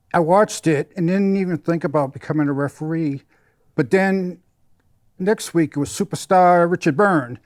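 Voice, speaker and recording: On a very clean recording with a silent background and a dry, close sound with no echo, a man with an American accent speaks at a moderate pace in a high voice with ordinary pitch variation. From Massachusetts. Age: 60s. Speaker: wrestling referee. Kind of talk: casual interview.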